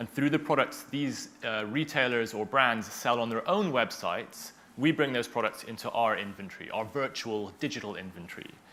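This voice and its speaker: An unremarkable speaking voice from a man with an American accent, medium in pitch, with ordinary pitch variation, a moderate pace and hardly any pauses. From United States. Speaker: tech company founder. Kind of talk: panel interview.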